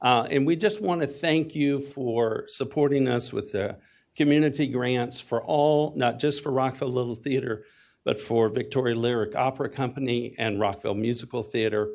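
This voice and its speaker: Medium pitch from a man with a Texas accent, a moderate pace and ordinary pitch variation, set against a quiet background. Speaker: community theater executive. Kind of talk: public comment testimony. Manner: hesitant with fillers.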